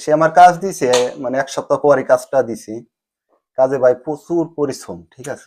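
A man speaks in an unremarkable speaking voice at a fairly high pitch with ordinary pitch variation. His loudness swings widely. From Bangladesh, Faridpur. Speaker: migrant telling his journey. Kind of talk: interview testimony.

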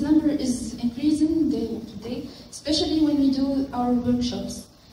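Heard with audible room echo, a woman talks at a fairly slow pace in a high voice with fairly even intonation. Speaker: engineering student and wiki volunteer. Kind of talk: conference talk.

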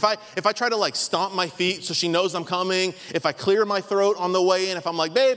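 Against a quiet background, a man speaks in a raised, projected voice at a fairly quick pace. His tone is bright and sharp. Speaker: pastor. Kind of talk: sermon. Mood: humorous. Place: church. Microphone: handheld.

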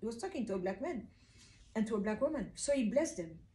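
A woman's fairly high, somewhat breathy voice carries a dark, mellow tone and lively intonation. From Kinshasa, DR Congo. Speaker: video blogger. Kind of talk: monologue talk to camera about self-hatred. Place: home room. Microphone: camera far.

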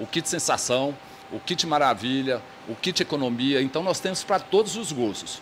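A man speaks at a moderate pace, with light background noise present. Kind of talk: interview answer. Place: shop. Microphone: handheld.

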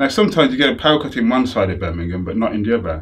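A man talks at a very fast pace in a somewhat breathy voice. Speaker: interviewee. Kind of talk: interview answer. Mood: animated, amused storytelling. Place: home room. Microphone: lapel.

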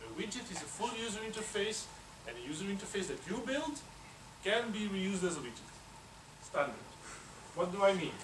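A man with a high pitch talks at a fairly quick pace with lively intonation, big swings in loudness and long, frequent pauses over noticeable background noise. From Belgium. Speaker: university researcher; conference presenter. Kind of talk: conference talk. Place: hall.

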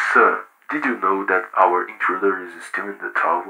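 A man puts on a raspy character voice and keeps to a moderate pace. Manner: polite, dry, deadpan.

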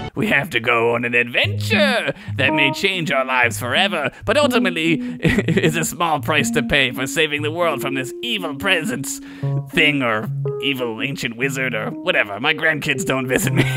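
A man's cartoonish character voice at a medium pitch and moderate pace, with clear music in the background. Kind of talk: comic overacting. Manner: grandiose, then wistful and sad.

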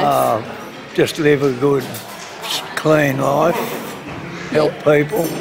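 A man's fairly high voice at a very slow pace, with long, frequent pauses, ordinary pitch variation and noticeable background noise. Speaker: grandfather. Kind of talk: interview answer. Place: hall. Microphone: phone near.

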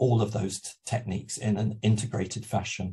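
Somewhat breathy, a man talks at a moderate pace. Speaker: university EAP lecturer. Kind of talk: webinar lecture. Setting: video call. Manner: hesitant, many fillers.

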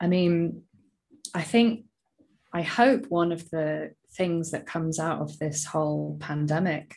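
Over a quiet background, a woman with a very deep, low pitch speaks at a fairly slow pace, somewhat breathy, with ordinary pitch variation. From England, raised in Southeast Asia from age five. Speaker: workplace coach and podcaster; workplace coach, podcaster. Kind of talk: casual interview. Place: home room. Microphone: earbuds.

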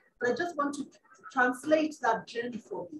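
Over light background noise and audible room echo, a woman talks at a fairly quick pace. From Kenya, Nairobi; Kenya. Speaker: UN climate official, panelist; panelist. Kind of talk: panel remarks. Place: hall.

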